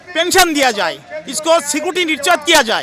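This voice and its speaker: Over crowd noise in the background, a man projects a raised voice with ordinary pitch variation. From West Bengal, India. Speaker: retired paramilitary personnel, protester. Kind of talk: street interview. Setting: outdoors at protest site.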